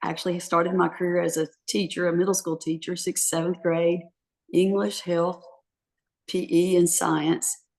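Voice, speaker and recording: A woman with an unremarkable speaking voice talks at a moderate pace. Her pitch is fairly low and her intonation fairly even. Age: 60s. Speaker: author. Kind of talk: interview. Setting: podcast.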